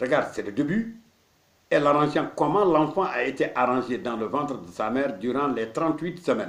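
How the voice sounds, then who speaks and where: Audible room echo surrounds a man with a fairly high voice. He talks at a moderate pace with lively intonation. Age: 60s. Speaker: marabout, Islamic spiritual teacher. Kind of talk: religious teaching talk.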